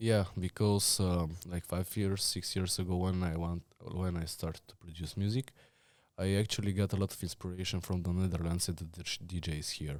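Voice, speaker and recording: With a Bulgarian accent, a man speaks at a moderate pace in a very deep, low pitch with monotone, flat intonation. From Bulgaria, Blagoevgrad. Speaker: student. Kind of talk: casual interview.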